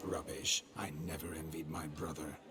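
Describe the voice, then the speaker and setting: A man puts on a cartoonish character voice with a very deep, low pitch over loud background noise. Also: moderate pace. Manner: flamboyant, courtly, flirtatious.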